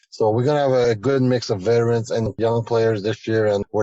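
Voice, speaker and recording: A man with a fairly low, dark, mellow voice at a very fast pace. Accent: French Canadian. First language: French. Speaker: hockey general manager. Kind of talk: radio interview.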